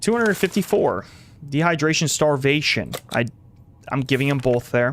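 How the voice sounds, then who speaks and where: An unremarkable speaking voice with lively intonation, very even loudness and a moderate pace. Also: man, fairly high pitch for a man. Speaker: gaming streamer. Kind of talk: live stream commentary. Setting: live stream.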